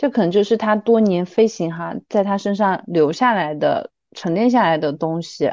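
A normal speaking voice with lively intonation, delivered at a moderate pace with a dry, close sound, no echo, and a quiet background. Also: woman, medium pitch for a woman. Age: 30s. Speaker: former flight attendant, account manager. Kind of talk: casual chat.

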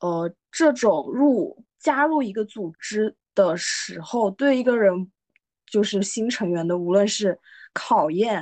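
Against a quiet background, a woman with a fairly high pitch speaks very slowly and with lively intonation, the sound dry and close with no echo. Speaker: podcast host. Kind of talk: casual chat.

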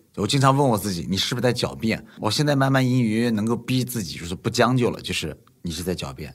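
Delivered at a very fast pace, the voice swings very widely in pitch over a very clean recording with a silent background. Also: man. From Nanjing, China. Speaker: investor. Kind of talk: casual chat.

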